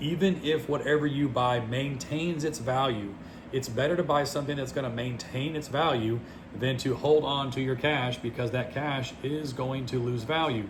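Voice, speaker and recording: In an American accent, a man talks at a medium pitch with fairly even intonation and audible room echo. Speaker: finance vlogger. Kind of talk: casual monologue. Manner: fast.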